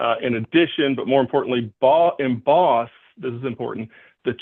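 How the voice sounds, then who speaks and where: A man's voice at medium pitch, with ordinary pitch variation. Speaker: lawyer. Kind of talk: courtroom argument. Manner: fast; halting.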